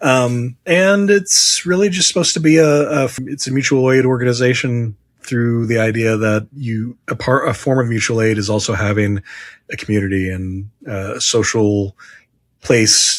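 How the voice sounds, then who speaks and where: At a moderate pace, a man with an American accent speaks at medium pitch with lively intonation. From Indiana, Henry County. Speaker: podcast host. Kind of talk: casual chat.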